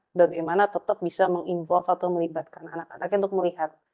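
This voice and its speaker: The voice has a dark, mellow tone and monotone, flat intonation, with a dry, close sound with no echo against a quiet background. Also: woman. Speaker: youth organization leader. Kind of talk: interview. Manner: many fillers, mixes in English.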